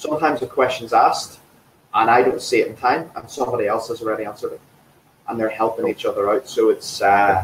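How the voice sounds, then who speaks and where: Someone talks at a very fast pace in an enthusiastic tone. Noticeable background noise runs underneath. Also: man. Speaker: fitness trainer. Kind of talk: interview.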